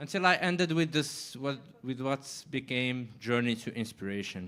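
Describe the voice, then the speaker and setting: With a French accent, a man talks at a medium pitch in a bright, sharp tone with lively intonation. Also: moderate pace. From Morocco. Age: 20s. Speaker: writer. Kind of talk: panel discussion.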